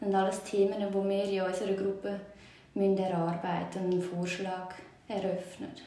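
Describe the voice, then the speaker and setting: Against noticeable background noise and audible room echo, a woman at medium pitch talks at a moderate pace with monotone, flat intonation. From Switzerland, Aargau (Zurzibiet). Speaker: municipal clerk. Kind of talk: interview.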